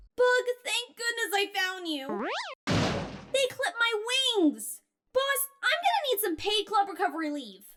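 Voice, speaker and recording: In a cartoonish character voice at an extremely high pitch, the speaker moves at a moderate pace with long, frequent pauses. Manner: upbeat.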